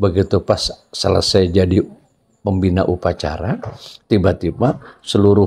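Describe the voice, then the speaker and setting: A man's very deep, low voice, somewhat breathy and dark and mellow in tone, at a moderate pace with fairly even intonation. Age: 60s. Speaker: retiring school principal. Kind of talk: interview.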